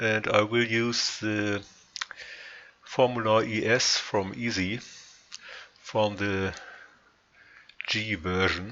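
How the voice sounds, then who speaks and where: Speech with a non-native accent comes at a very slow pace, with long, frequent pauses, monotone, flat intonation and noticeable background noise. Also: man, fairly low pitch for a man. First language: not English. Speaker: sim racing modder. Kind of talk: tutorial. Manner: halting, frequent pauses.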